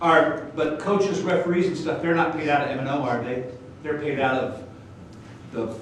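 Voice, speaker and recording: A man's fairly high voice at a moderate pace, with ordinary pitch variation and long, frequent pauses, amid audible room echo and noticeable background noise. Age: old. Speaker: school principal. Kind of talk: public comment at board meeting. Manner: loud.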